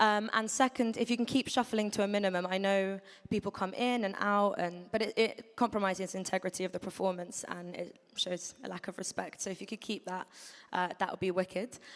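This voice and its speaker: A woman with a British accent talks at a fairly quick pace, with a medium pitch and fairly even intonation. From London, England. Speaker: event host. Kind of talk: event MC introduction. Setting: stage with audience.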